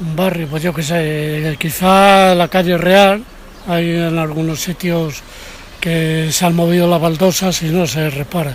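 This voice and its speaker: A man's high, monotone voice with flat intonation, at a very slow pace, over noticeable background noise. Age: old. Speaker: local resident interviewed in street. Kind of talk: street interview.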